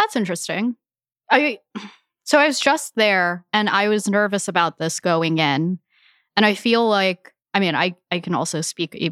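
At a moderate pace, a woman with a General American accent and an unremarkable speaking voice talks at medium pitch with lively intonation, in a very clean, dry, close recording with a silent background and no echo. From United States, Filipino heritage. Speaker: food media guest. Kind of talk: casual chat.

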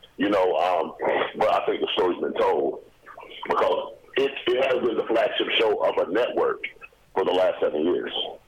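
At a moderate pace with long, frequent pauses, the speech holds a very even loudness over noticeable background noise. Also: man. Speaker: actor. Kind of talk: radio interview.

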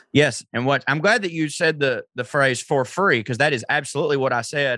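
A man speaks with a Southern US accent at a fairly quick pace. His pitch is fairly high and his tone bright and sharp. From US South. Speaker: comedian. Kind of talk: casual chat.

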